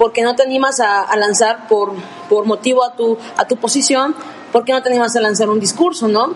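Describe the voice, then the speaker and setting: Over noticeable background noise, a woman with a fairly high pitch talks at a moderate pace. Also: ordinary pitch variation. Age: 20s. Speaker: law student. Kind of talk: podcast discussion.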